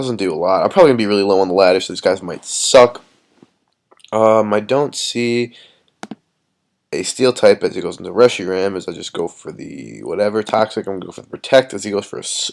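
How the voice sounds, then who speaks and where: Talking at a very fast pace, a man is heard. His loudness swings widely. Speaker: gaming youtuber. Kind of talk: live gameplay commentary. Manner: casual, filler-heavy.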